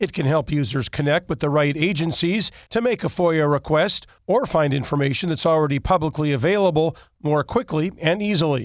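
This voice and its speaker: Here a man has a normal speaking voice with ordinary pitch variation. He talks at a fairly quick pace. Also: very clean recording, silent background. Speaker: radio news anchor. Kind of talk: formal daily newscast read from a script. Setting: studio. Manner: crisp, measured newsreader cadence, even and authoritative; brisk item-to-item delivery with clear enunciation of acronyms.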